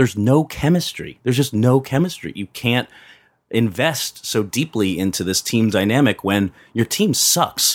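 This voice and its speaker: In a very clean recording with a silent background and a dry, close sound with no echo, a man with an American accent uses a plain, everyday voice at medium pitch with lively intonation. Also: moderate pace. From Pennsylvania, Philadelphia area. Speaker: film critic podcast host. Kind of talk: casual chat, movie review.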